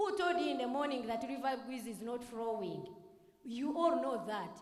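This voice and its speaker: Lively intonation rings out against audible room echo. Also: woman. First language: Rukiga or Runyankole. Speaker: youth parliament member. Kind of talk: parliamentary debate speech.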